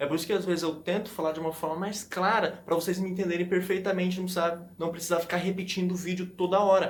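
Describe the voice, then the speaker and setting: A man's high-pitched, monotone, flat delivery at a very fast pace with hardly any pauses. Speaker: language-learning YouTuber. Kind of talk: tutorial. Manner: casual, conversational.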